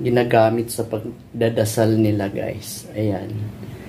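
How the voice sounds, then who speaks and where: Light background noise sits under the voice. The pace is very slow. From Philippines. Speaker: vlogger, domestic helper; vlogger. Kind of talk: casual vlog. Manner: animated. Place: home room. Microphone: phone near.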